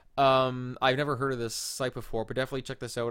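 Very fast speech comes from a man at a medium pitch. The recording is very clean, the background silent. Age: 20s. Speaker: podcast host. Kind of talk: solo casual commentary. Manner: casual, halting with fillers.

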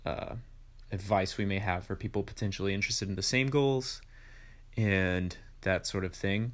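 A man's fairly low-pitched voice at a fairly slow pace. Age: 20s. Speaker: podcast host and music teacher. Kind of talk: casual solo monologue. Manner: halting, many fillers.

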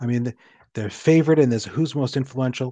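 The recording of this medium-pitched man is dry and close with no echo, over a quiet background. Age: 50s. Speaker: novelist and programmer. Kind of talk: interview. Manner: halting, many fillers.

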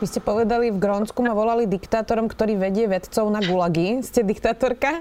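With a plain, everyday voice, a woman at a fairly high pitch speaks with very even loudness, ordinary pitch variation and hardly any pauses. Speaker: journalist interviewer. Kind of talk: interview.

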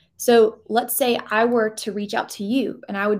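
Over a silent background in a very clean recording, a woman with an American accent speaks fairly quickly at medium pitch in a plain, everyday voice. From US South, Georgia. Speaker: career coach and former recruiter. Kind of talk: interview conversation.

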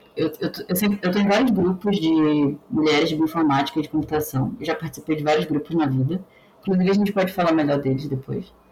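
A woman speaks at a fairly quick pace in a very deep, low pitch, with ordinary pitch variation and very even loudness. Noticeable background noise sits behind her. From Brazil, Pará (Belém). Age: 20s. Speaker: biotechnologist working in bioinformatics. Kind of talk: casual interview.

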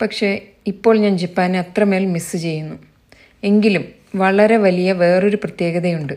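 A woman speaks in an ordinary speaking voice at medium pitch. Her intonation is fairly even. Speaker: blogger and writer. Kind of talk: reading aloud own blog essay.

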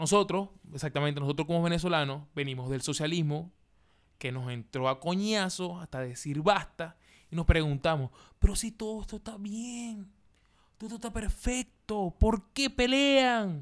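Fairly slow speech from a man at a high pitch, with very wide pitch swings and big swings in loudness. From Venezuela, Maracaibo. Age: 20s. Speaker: podcast host, comedian. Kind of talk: casual monologue.

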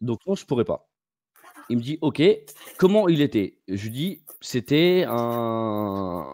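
A man's medium-pitched voice, very slow, with long, frequent pauses and very wide pitch swings, in a dry, close sound with no echo. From Bordeaux, France. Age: 20s. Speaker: caller. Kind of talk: personal story on a call-in show.

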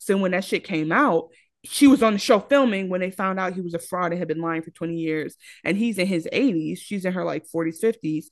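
In an ordinary speaking voice, a woman of medium pitch talks fairly quickly with ordinary pitch variation against a quiet background. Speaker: podcast co-host. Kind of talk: casual chat.

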